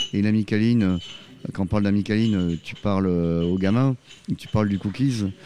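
A man speaks with a fairly low pitch and ordinary pitch variation. His tone is dark and mellow. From southwest France, Arcachon. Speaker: offshore sailor. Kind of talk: interview. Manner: casual, familiar.

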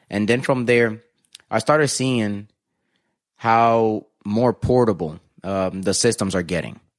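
Against a quiet background, a man with a fairly low pitch speaks at a moderate pace with ordinary pitch variation. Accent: American. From New Jersey, US, Dominican parents. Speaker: DJ. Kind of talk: casual interview chat.

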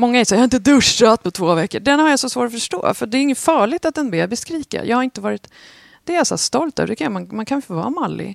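A woman speaks very fast at a high pitch, her voice swinging very widely up and down. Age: 40s. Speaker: podcast co-host. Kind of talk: casual chat.

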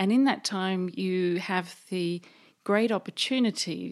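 The speech has a fairly slow pace and ordinary pitch variation. The recording is very clean, with a silent background. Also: woman. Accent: English. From England. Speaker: board director and accountant. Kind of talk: interview answers.

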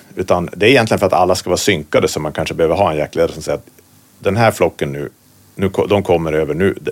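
A man's very deep, low voice in a northern Swedish accent, very fast, with ordinary pitch variation and big swings in loudness. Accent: northern Swedish, noticeable. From Västerbotten, northern Sweden. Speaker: hunter and hunting writer. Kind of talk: casual interview.

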